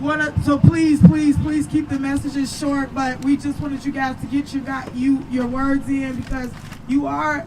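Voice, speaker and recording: Noticeable background noise accompanies speech delivered at a fairly slow rate. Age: 30s. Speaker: activist organizing a protest. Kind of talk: protest speech. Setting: outdoor protest rally.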